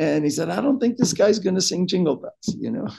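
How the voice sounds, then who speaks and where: A man at a fairly quick pace against a quiet background. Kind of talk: interview answer. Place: office. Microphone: video call.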